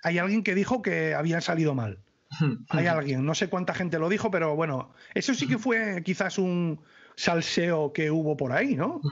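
A man speaks at a moderate pace with a high pitch, lively intonation and an animated tone. His loudness stays very even over a quiet background. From northern Spain. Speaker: YouTuber, knife reviewer. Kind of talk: casual chat. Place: home room. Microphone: studio mic.

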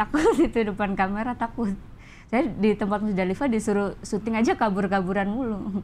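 In a Banyumasan accent, a woman speaks at a fairly high pitch. Her pace is fairly quick, with light background noise behind her. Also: ordinary pitch variation. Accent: Javanese ngapak dialect. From Banjarnegara, Central Java, Indonesia; Central Java, Indonesia. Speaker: stand-up comedian. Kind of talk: casual interview; interview answer. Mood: relaxed, sometimes laughing. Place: studio.

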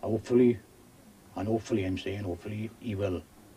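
The man rushes along at a very fast pace, his intonation fairly even. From South Wales. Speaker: coal miner. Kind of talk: casual interview. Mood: earnest, frustrated about union politics. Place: tunnel cave.

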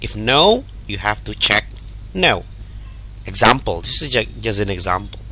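Over noticeable background noise, a man with an Indonesian accent speaks fairly slowly, with long, frequent pauses. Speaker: English teacher. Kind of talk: lesson tutorial. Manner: halting.

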